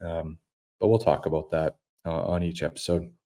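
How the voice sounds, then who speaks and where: With a Canadian Prairies accent, a man talks in a very deep, low pitch and a dark, mellow tone on a very clean recording with a silent background. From Saskatchewan, Canada. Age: 30s. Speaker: podcast host. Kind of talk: casual monologue. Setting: home studio. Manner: hesitant, many fillers.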